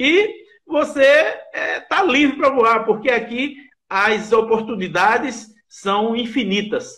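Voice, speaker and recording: Against a quiet background, a man with an extremely high pitch and a bright, sharp tone speaks at a very slow pace with ordinary pitch variation. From Brazil, Pernambuco (Recife); Pernambuco, Brazil. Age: 50s. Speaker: bid analyst and teacher; bid analyst, teacher. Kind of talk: interview. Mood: upbeat, enthusiastic testimonial. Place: home room. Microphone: video call.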